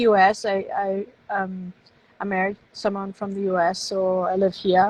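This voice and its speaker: A woman at medium pitch with a German accent, at a moderate pace. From Germany. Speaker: novelist. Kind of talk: casual interview. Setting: live stream.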